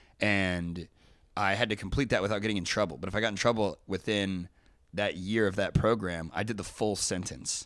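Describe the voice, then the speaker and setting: In a very clean recording with a silent background, a man speaks with an American accent in an ordinary speaking voice. His pitch is fairly low, his intonation fairly even, and his pace fairly quick. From US Midwest (Dayton, Ohio). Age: 20s. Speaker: podcast guest, journalist. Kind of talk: casual chat. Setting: studio, on host's couch.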